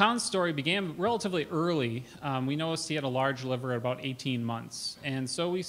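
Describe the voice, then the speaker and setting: A man does the talking here. His pace is fairly quick, with ordinary pitch variation. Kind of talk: conference talk. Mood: earnest, lightly humorous. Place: hall. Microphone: podium.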